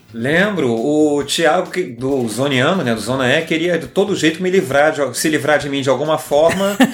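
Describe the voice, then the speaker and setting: There is noticeable background noise behind a man whose fairly high voice shows ordinary pitch variation. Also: moderate pace. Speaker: podcast co-host. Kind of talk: casual chat.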